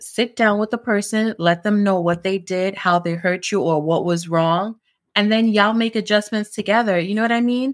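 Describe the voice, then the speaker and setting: In a New York accent, a woman speaks at a moderate pace and a medium pitch, with fairly even intonation and very even loudness. The recording is very clean, with a silent background. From Brooklyn, New York (born in Jamaica). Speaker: entrepreneur. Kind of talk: casual chat.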